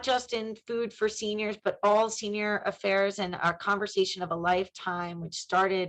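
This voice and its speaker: An ordinary speaking voice comes through at a moderate rate. The intonation stays fairly even. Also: woman. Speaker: city health official. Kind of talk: webinar presentation.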